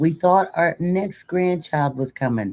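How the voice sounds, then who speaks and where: Her voice has a dark, mellow tone and a fairly low pitch, and the woman speaks at a fairly slow pace with ordinary pitch variation. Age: old. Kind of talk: casual live-stream talk.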